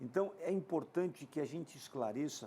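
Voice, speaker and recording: A man speaks with a high pitch. His voice has a dark, mellow tone. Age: 60s. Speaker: TV sports business show host. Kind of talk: TV interview.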